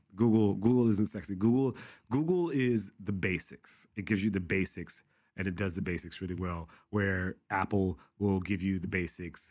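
A man with a Californian accent, fairly low pitch and ordinary pitch variation at a moderate pace, on a very clean recording with a silent background. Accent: Californian American English. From Los Angeles, San Fernando Valley (Pacoima). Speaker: content creator. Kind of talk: casual chat. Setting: studio.

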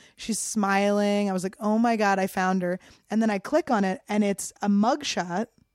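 An animated woman's voice at a medium pitch and moderate pace, with a dry, close sound and no echo. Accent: American. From Philadelphia suburbs, Cheltenham. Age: 30s. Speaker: comedian. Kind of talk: casual chat. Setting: studio.

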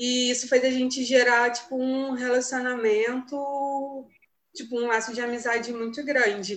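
A woman speaks at a fairly slow pace in a plain, everyday voice, her pitch fairly high. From Brazil, Rio de Janeiro. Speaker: young missionary volunteer. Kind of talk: casual chat, sharing experiences.

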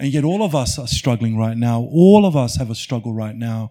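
A man's medium-pitched, dark, mellow voice with an Australian accent at a moderate pace, on a very clean recording with a silent background. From Australia, rural Victoria (Mount Beauty). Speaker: refugee advocate and author. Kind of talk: live festival conversation. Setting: stage with audience.

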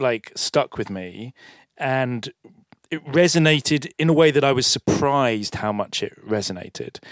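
A plain, everyday voice with lively intonation, dry, close sound with no echo, and a very clean recording over a silent background. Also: man. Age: 50s. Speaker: film director. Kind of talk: public onstage interview. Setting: stage with audience.

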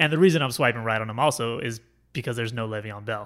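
On a very clean recording with a silent background, a man of medium pitch speaks in a bright, sharp tone with ordinary pitch variation. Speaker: sports podcast host. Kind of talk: casual chat. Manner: fast.

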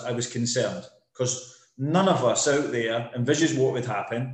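There is audible room echo around a man speaking at a medium pitch. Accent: Scottish. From Scotland. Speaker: property developer sales director. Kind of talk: casual interview.

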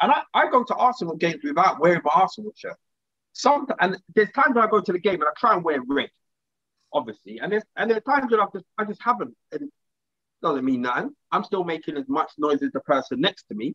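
A man's raised, projected voice in a London accent, high-pitched and animated, bright and sharp in tone, with very wide pitch swings at a very fast pace, dry and close with no echo. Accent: British, London urban. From England. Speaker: podcast co-host. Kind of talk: casual banter chat. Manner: animated, talkative.

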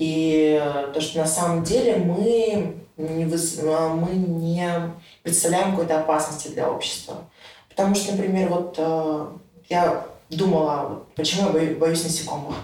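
Through noticeable background noise and audible room echo, a woman speaks very slowly at a fairly low pitch with fairly even intonation. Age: 20s. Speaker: interview guest. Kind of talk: casual interview.

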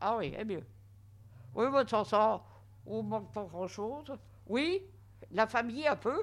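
Speaking at a very slow pace with long, frequent pauses, a woman has a fairly high pitch and vocal fry. Her intonation is lively, and the recording is very clean with a silent background. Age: 80s+. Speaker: nursing home resident. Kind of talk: interview testimony. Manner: halting.

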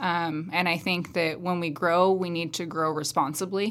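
A woman's fairly slow, fairly low-pitched speech in a West Coast accent with fairly even intonation, on a very clean recording with a silent background. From central Oregon, US. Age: 30s. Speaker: county commission candidate. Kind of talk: candidate interview.

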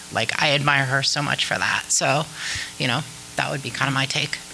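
Noticeable background noise runs under the speech. The accent is American. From Ohio, Wooster. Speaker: filmmaker. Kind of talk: panel discussion. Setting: stage with audience.

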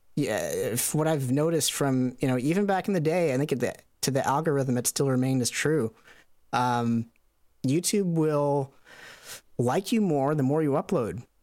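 With a normal speaking voice, a man talks at a fairly high pitch and a moderate pace, with ordinary pitch variation, on a very clean recording with a silent background. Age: 30s. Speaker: YouTube video editor. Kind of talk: interview.

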